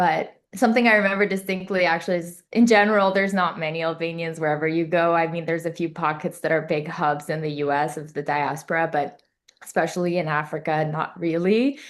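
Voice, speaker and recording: A woman speaks at a fairly quick clip in a fairly low voice, with ordinary pitch movement, hardly any pauses, and a quiet background. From Kosovo-born, raised in Zambia and Uganda international schools, then Maryland from 15. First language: Albanian. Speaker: MD-PhD student. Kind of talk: podcast interview. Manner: casual, conversational.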